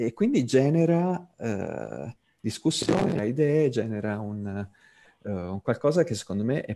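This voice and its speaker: A man at a moderate pace in a normal speaking voice. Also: dry, close sound with no echo. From Tuscany (Pisa), Italy. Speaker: designer and author. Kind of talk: online talk / presentation. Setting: video call (virtual classroom).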